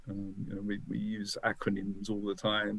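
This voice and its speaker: A man with a British accent, fairly low pitch, fairly even intonation and a moderate pace. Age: 60s. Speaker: business founder. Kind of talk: podcast interview. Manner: halting, with many fillers and repeats.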